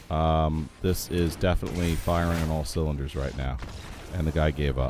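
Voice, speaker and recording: Music can be heard behind the speaker. Delivery is fairly slow. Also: man. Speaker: game streamer. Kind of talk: gameplay commentary. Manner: casual, hesitant with fillers.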